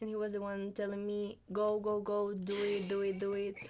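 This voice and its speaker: In a very clean recording with a silent background, a woman speaks with a Colombian accent. Her pitch is medium and her pace fairly slow. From Colombia, Cartagena. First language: Spanish. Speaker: international student. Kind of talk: podcast interview.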